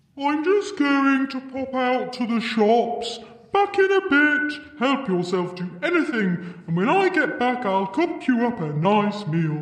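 A man speaks in a put-on character voice at an extremely high pitch, fairly slowly and with hardly any pauses. His pitch swings very widely, with clear echo and light background noise. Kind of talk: comic fairytale acting. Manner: cheerful, chatty, hesitant.

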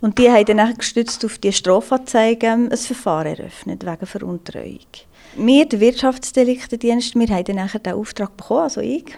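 Here a woman speaks with a fairly high pitch. Her tone is dark and mellow. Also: ordinary pitch variation, moderate pace. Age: 30s. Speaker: police investigator. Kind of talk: interview.

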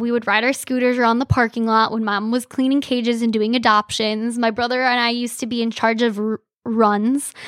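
Talking at a fairly quick pace with hardly any pauses, the speaker has an Upper Midwest accent and a monotone, flat intonation. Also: woman, fairly high pitch for a woman. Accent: Upper Midwest American. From Michigan, Frankenmuth. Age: 20s. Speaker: cat rescue worker. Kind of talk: casual interview.

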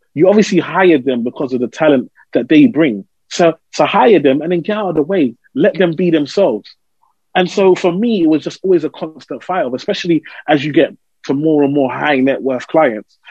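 With an East London accent, a man with a fairly high pitch sounds animated, speaking at a fairly quick pace with lively intonation. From East London, England. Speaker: financial adviser. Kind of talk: interview.

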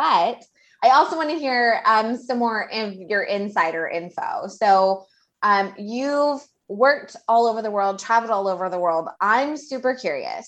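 A woman with an American accent, a plain, everyday voice, lively intonation and a moderate pace. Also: fairly high pitch for a woman. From Houston, Texas. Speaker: podcast host. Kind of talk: casual interview chat.

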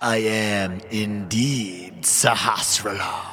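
A man puts on a raspy character voice at a fairly low pitch. He speaks very slowly with fairly even intonation.

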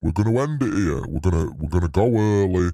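In a very clean recording with a silent background, a man with a dark, mellow tone speaks at a moderate pace with lively intonation. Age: 30s. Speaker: podcast co-host. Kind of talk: casual, crude British slang. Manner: rambling, jokey.

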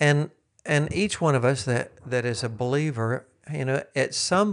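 There's a quiet background behind this man, whose fairly high pitch carries an unremarkable speaking voice. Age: 60s. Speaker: teacher and former missionary. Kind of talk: casual chat.

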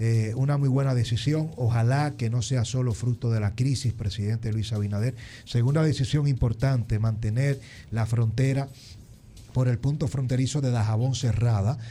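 This man's voice is somewhat breathy, with a dark, mellow tone and medium pitch. He talks at a moderate pace with ordinary pitch variation and very even loudness. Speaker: political commentator. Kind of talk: interview.

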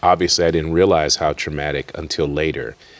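With an American accent, a man talks at a very deep, low pitch with ordinary pitch variation. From Worcester, Massachusetts. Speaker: college president and pastor. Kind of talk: interview.

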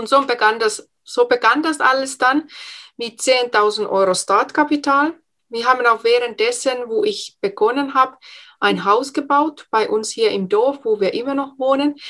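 Speaking with a Finnish accent, a woman has a high-pitched voice with a bright, sharp tone. Her pace is fairly slow and her intonation lively. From Finland. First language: Finnish (speaking German). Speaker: entrepreneur and speech coach. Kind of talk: interview.

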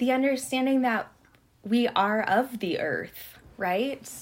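Speaking with an American accent, a woman talks at a fairly slow pace. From Montana, US. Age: 30s. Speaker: artist and historian, PhD student. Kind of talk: interview conversation.

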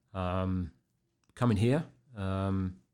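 In a very clean recording with a silent background, a man with a southern English accent speaks at a very deep, low pitch with ordinary pitch variation. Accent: English, southern England. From Berkshire, England. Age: 50s. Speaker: police officer.

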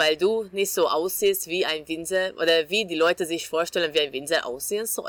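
A woman with a Hungarian accent speaks at a fairly low pitch. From Hungary, Budapest. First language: Hungarian (speaking German). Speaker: winemaker. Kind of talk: interview.

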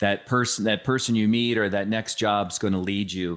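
An ordinary speaking voice from a man, fairly low in pitch, moderate in pace and fairly even in intonation, on a very clean recording with a silent background. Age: 50s. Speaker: podcast host. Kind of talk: casual interview chat.

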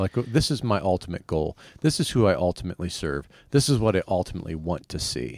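Very fast and very deep, a man's low voice with vocal fry swings very widely in pitch, recorded very cleanly against a silent background with a dry, close sound and no echo. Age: 50s. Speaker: pastor and podcast co-host. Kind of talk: casual chat.

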